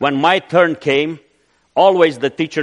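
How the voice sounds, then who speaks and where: Against a quiet background, a man speaks with a Romanian accent. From Romania (Transylvania). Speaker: missionary. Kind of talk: sermon. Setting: church.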